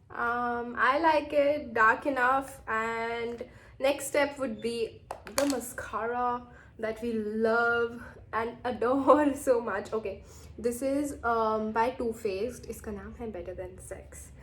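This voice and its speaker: Over noticeable background noise, the very slow delivery keeps fairly even intonation while the loudness swings widely. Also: woman, fairly high pitch for a woman. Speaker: beauty vlogger. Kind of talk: makeup tutorial, casual. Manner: casual, hesitant with fillers.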